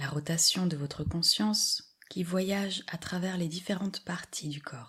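The tone is calm and soothing. The delivery is fairly slow, with hardly any pauses. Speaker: yoga nidra guide. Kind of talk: guided meditation. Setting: audio recording for lying down. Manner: slow, calm, soothing, with long pauses; soft-spoken, gentle and even in tone.

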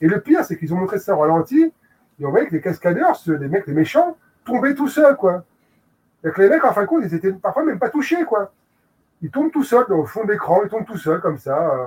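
A man speaks in a high pitch at a fairly quick pace, with very wide pitch swings. Long, frequent pauses break up his speech. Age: 40s. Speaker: film video publisher. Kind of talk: casual chat. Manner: halting, many repetitions and fillers.

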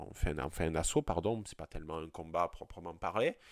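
With a southern French accent, a man speaks in very wide pitch swings. The recording is very clean, with a silent background. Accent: regional southern French. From southern French countryside. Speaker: podcast host. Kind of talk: solo podcast monologue. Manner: hesitant, many fillers and repetitions.

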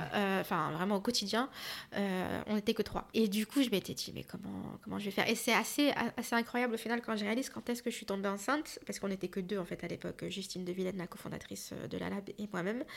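A woman talks at a very fast pace with vocal fry. Her pitch variation is ordinary. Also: medium pitch for a woman. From Paris region. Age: 30s. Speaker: film director and activist. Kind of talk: casual chat.

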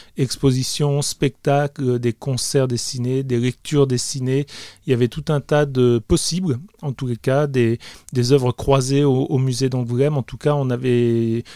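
Dark, mellow tone at a fairly slow pace, with fairly even intonation and a dry, close sound with no echo. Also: man. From France, Grenoble area, Italian family. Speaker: comic book artist. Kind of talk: interview. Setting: his small studio. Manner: hesitant, many repetitions.

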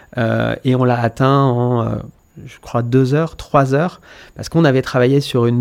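A man talks in a plain, everyday voice at medium pitch. His pace is moderate and his intonation fairly even. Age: 30s. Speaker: company founder. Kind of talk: interview. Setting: studio.

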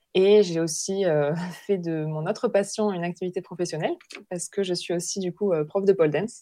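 Her voice is a woman's, fairly low in pitch, with a dark, mellow tone. The intonation stays fairly even. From southern France, Hérault. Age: 30s. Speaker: naturopath. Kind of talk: interview testimony.

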